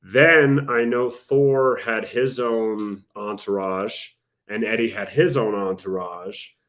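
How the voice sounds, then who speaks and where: The recording is very clean, with a silent background. A man talks in an ordinary speaking voice at medium pitch. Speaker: ring announcer who hosted a press conference. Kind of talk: interview answer. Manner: casual, conversational.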